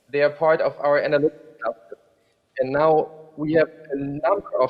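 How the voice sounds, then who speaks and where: A man's fairly high-pitched, plain, everyday voice at a moderate pace. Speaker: rail freight program manager. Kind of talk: panel discussion. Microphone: hears own echo.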